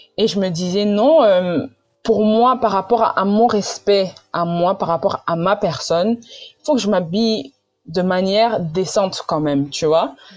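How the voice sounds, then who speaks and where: With music in the background, a woman talks fairly slowly at a medium pitch with lively intonation. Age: 20s. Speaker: pastor's daughter, churchgoer. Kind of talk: testimony.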